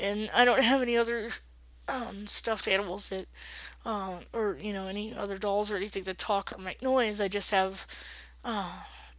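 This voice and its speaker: The recording is very clean, with a silent background. A woman speaks at a moderate pace and medium pitch with fairly even intonation. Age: 30s. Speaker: vlogger. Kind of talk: casual vlog. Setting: at home, late at night. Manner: hesitant, many fillers.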